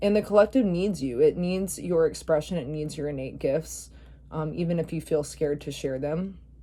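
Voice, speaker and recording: A woman speaks with a very deep, low pitch, a dark, mellow tone and vocal fry. Her pitch variation is ordinary and her pace moderate. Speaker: tarot reader. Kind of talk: channeled tarot reading. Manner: casual, many fillers.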